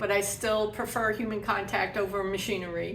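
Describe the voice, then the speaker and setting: A woman with an American accent, audible room echo around her voice. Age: 60s. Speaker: graduate student in social work. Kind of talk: personal testimony interview. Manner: conversational with fillers.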